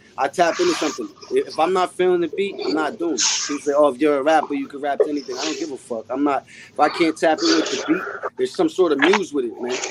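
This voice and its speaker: Noticeable background noise sits behind a man who talks at a very fast pace. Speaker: rapper. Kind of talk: podcast interview. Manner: calm.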